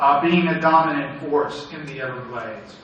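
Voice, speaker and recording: Noticeable noise sits in the background. The speech moves at a moderate speed. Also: man. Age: 60s. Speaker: environmental advocacy director. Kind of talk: panel talk. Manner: halting.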